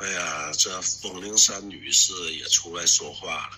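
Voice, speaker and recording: Over noticeable background noise, a man talks at a very slow pace with a Northeastern Chinese accent. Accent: Northeastern Mandarin. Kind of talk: street interview talk.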